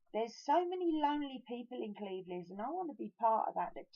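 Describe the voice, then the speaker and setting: Her intonation lively, a woman speaks. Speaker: vlogger, guest house owner. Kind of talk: personal video diary. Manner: halting.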